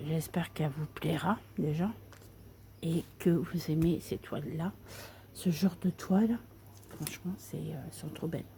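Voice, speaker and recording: A soft-spoken woman talks in a fairly low pitch with vocal fry and a dark, mellow tone. She goes at a fairly slow pace with long, frequent pauses. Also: ordinary pitch variation. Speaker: craft video creator. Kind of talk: casual tutorial chat.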